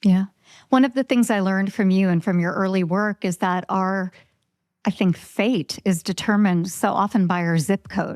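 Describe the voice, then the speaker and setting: A plain, everyday voice speaks at a moderate pace with very even loudness and ordinary pitch variation. The recording is very clean with a silent background and a dry, close sound with no echo. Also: woman, medium pitch for a woman. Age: 50s. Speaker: podcast host. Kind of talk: podcast interview.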